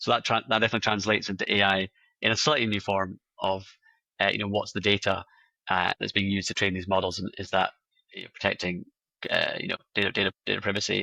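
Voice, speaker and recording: The voice is bright and sharp, with monotone, flat intonation. It moves at a very fast pace in a dry, close sound with no echo. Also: man, fairly low pitch for a man. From Scotland. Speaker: AI compliance company representative. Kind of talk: interview. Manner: halting, many fillers and repeats.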